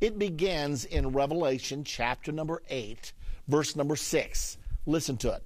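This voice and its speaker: This man has an ordinary speaking voice, pitched fairly high. He talks at a fairly slow pace with ordinary pitch variation. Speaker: Bible prophecy teacher. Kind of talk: Bible lesson.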